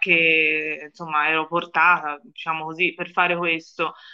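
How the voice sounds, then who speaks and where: A woman's bright, sharp tone comes at a moderate pace against a quiet background. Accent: Florentine. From Florence, Italy. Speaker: journalist. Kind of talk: interview. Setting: remote call.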